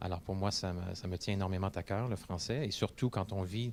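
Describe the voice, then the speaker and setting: A man with a Quebec accent speaks at a very deep, low pitch in a dark, mellow tone. His intonation is fairly even, his pace fairly quick, and the recording very clean with a silent background. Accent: Québécois French. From Quebec City, Quebec. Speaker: English-French interpreter. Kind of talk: interview testimony. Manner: hesitant, many fillers and repetitions.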